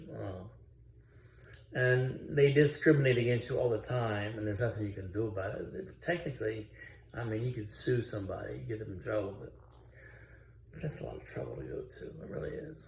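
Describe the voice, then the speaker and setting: A man talks at a fairly quick pace with long, frequent pauses and big swings in loudness, in audible room echo. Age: 60s. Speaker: author. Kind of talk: personal testimony. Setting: indoors, dim room. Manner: halting.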